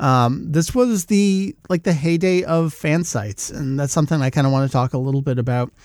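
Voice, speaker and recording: In a plain, everyday voice, a man speaks at a fairly quick pace with hardly any pauses, his fairly high pitch carried by lively intonation. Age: 40s. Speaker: podcast host, fan site runner. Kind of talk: casual chat.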